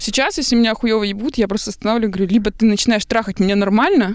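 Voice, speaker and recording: A woman at a fairly high pitch and a very fast pace, with ordinary pitch variation. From Belarus, Minsk. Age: 20s. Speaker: podcast guest. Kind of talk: casual chat.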